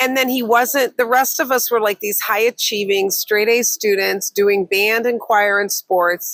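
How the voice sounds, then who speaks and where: Fairly high-pitched woman's speech with an American accent, a normal speaking voice, fairly slow with hardly any pauses, ordinary pitch variation and a dry, close sound with no echo. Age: 60s. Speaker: business coach and podcast co-host. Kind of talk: casual chat.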